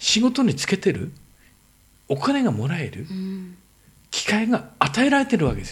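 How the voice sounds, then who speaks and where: This man's voice sits high, swinging very widely in pitch at a moderate pace. He leaves long, frequent pauses. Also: big swings in loudness. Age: 50s. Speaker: entrepreneur. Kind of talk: casual chat.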